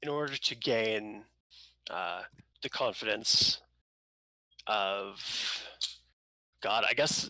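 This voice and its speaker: Using a put-on character voice, a man speaks very slowly at a medium pitch, raspy and solemn in tone, with long, frequent pauses. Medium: actual play. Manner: solemn, terse.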